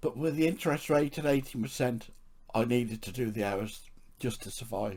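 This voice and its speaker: A medium-pitched man's voice with an English accent, moderate in pace and ordinary in pitch variation. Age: 60s. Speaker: podcaster with chronic illness. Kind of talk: reading aloud.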